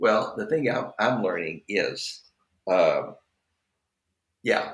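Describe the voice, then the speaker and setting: Heard with audible room echo, a man with an American accent speaks at a very slow pace. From Texas, near Dallas. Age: 70s. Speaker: ministry leader and author. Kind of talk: podcast interview.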